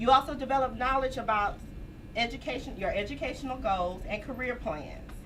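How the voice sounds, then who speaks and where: Loud and high-pitched, a woman speaks at a fairly quick pace with ordinary pitch variation amid noticeable background noise and audible room echo. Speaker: academic advisor. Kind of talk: orientation presentation.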